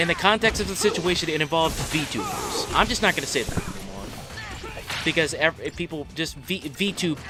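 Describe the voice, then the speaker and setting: Music plays in the background as a man talks at a moderate pace and a high pitch. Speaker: gaming streamer. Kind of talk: live stream commentary. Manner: repeats and restarts words.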